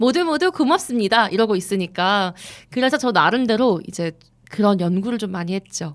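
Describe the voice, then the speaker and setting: In an ordinary speaking voice, a woman talks at a moderate pace and a medium pitch. Her intonation is lively. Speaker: radio host. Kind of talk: casual chat.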